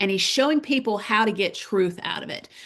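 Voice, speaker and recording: A woman with a Southern US accent talks at a moderate pace with ordinary pitch variation. Background noise is noticeable. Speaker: parent advocacy webinar host. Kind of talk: webinar presentation. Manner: casual, conversational.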